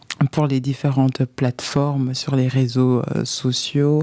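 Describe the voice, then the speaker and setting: A woman speaks at a very slow pace with a very deep, low pitch. Her intonation is monotone and flat, and noticeable background noise is present. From Belgium, Brussels. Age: 30s. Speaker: life coach and author. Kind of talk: testimony. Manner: hesitant, many fillers.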